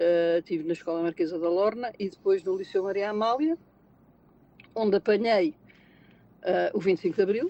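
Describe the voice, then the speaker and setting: A woman talks at a moderate pace with long, frequent pauses, her medium pitch moving with ordinary variation. Her tone is dark and mellow, and the sound is dry and close with no echo. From Portugal, Lisbon. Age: 60s. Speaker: retail manager and auditor. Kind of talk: interview conversation. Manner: halting, many repetitions and fillers.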